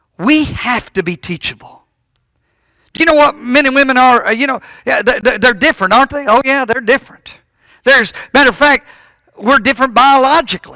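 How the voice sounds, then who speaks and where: A man uses a raised, projected voice at an extremely high pitch, his tone bright and sharp with ordinary pitch variation. He moves at a fairly quick pace with long, frequent pauses, and the sound is dry and close with no echo. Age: 60s. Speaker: preacher. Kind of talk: sermon. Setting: church. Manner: halting, repeats words.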